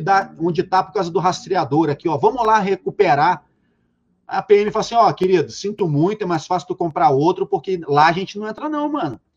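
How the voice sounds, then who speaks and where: In a Rio de Janeiro accent, a man with a high pitch talks at a fairly quick pace with lively intonation, recorded with a dry, close sound with no echo. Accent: Carioca Brazilian Portuguese. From Rio de Janeiro, Penha suburb. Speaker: reality show consultant. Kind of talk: casual chat. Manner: animated.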